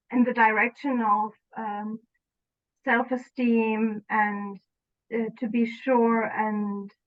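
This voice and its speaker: Fairly even intonation in a German accent. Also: woman. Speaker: former client. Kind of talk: interview. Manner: halting, many fillers.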